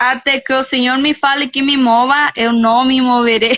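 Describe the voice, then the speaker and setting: A woman with a Spanish accent speaks in a raised, projected voice that is high-pitched, bright and sharp. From Guatemala. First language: Spanish (speaking Portuguese). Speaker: missionary. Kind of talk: testimony. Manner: halting.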